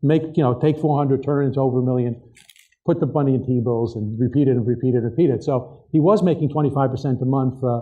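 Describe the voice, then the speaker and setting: Speaking at a fairly quick pace, a man uses a plain, everyday voice at medium pitch with fairly even intonation. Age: 60s. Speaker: author and trading expert. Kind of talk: keynote interview on stage.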